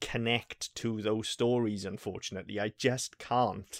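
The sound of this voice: A man talks at a fairly low pitch with little pitch movement. The recording is very clean, with a silent background.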